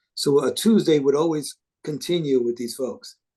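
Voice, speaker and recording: A man with a fairly high pitch and a dark, mellow tone speaks with lively intonation. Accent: New York. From New York City, South Bronx. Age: 60s. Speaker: live sound engineer. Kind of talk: interview. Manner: halting, with many fillers and repeats.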